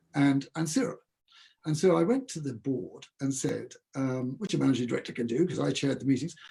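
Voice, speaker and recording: Somewhat breathy and dark, mellow in tone, a man's fairly high voice moves at a fairly quick pace with ordinary pitch variation. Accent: English. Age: 70s. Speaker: food company founder. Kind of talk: interview. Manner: halting.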